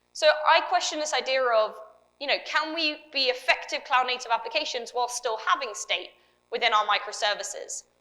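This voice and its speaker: A fairly quick pace, ordinary pitch variation, and a British accent. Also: woman, high pitch for a woman. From UK. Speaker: developer advocate. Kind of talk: conference talk. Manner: loud.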